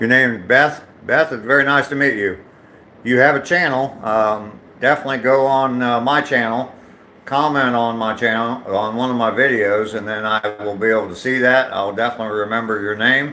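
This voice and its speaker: The speaker has an American accent and talks at a moderate pace with fairly even intonation. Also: man, medium pitch for a man. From US, not the South; grew up where he lives now. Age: 60s. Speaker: live streamer, vlogger. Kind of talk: casual chat reading live comments while walking. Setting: outdoors on a walking trail, live stream. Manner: hesitant, many fillers.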